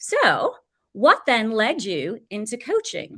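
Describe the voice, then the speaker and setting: With an English accent, a woman speaks at a fairly high pitch in a bright, sharp tone. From England. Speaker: podcast host. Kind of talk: interview.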